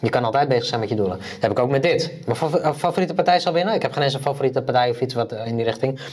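A man with a medium-pitched voice talks at a very fast pace over noticeable background noise. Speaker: podcast co-host. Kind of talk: casual chat.

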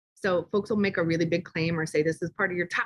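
Her somewhat breathy, medium-pitched voice comes through as a woman speaks in a dry, close sound with no echo. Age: 40s. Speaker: consultancy CEO, former nonprofit director. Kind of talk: interview. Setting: same room as co-guest.

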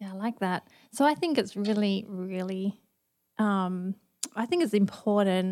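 A woman with an Australian accent speaks at medium pitch and a fairly slow pace, her tone dark and mellow. Her pitch varies in an ordinary way, and she takes long, frequent pauses. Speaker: campus pastor. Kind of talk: casual chat.

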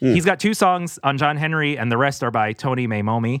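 An unremarkable speaking voice from a man at a fairly high pitch moves at a moderate pace with lively intonation, in a very clean recording with a silent background. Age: 40s. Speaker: podcast host and background actor. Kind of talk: casual chat; scripted narration.

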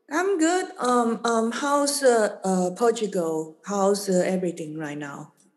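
Hardly pausing, a woman at medium pitch moves at a fairly slow pace while her pitch swings very widely. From Taiwan. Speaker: podcast host and art curator. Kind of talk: casual interview. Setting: video call. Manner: halting.

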